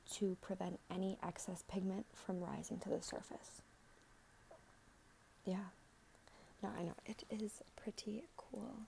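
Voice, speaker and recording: A soft-spoken woman at medium pitch, with a gentle tone, vocal fry and long, frequent pauses. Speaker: aesthetician giving a skin consultation (role play). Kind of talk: ASMR role-play skin consultation. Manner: soft-spoken, gentle, friendly.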